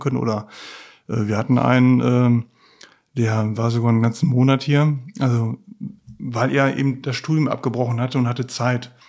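Using an ordinary speaking voice, a man talks at a medium pitch. His pace is moderate and his intonation fairly even. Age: 50s. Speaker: materials tester, trainer. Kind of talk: casual interview. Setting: workshop on site.

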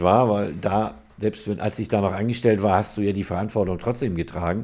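This man's voice has a dark, mellow tone and a fairly low pitch. He talks at a fairly quick pace. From northern Germany. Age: 50s. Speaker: car body and paint shop owner. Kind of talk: casual chat.

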